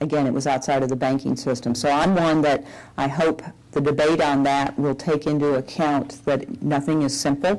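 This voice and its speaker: A woman's very deep, low voice in a Southern US accent, monotone and flat, at a moderate pace and very even loudness. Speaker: bank executive. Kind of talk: public Q&A.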